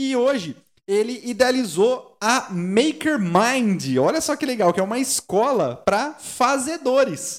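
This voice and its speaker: A man speaks at a very slow pace in an extremely high pitch with lively intonation. The recording is very clean, with a silent background. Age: 30s. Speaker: podcast host. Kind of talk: live talk show chat. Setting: studio.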